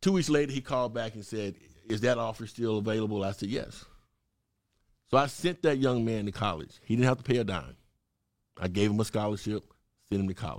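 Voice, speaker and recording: In a very clean recording with a silent background, a man with a Southern US accent talks at medium pitch and a fairly quick pace, with ordinary pitch variation and long, frequent pauses. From Mississippi. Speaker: political candidate. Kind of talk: interview. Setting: studio.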